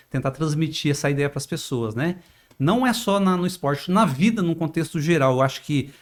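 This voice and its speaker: The pitch variation is ordinary. The pace is moderate. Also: man, fairly high pitch for a man. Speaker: journalist podcast host. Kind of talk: interview. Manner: informal.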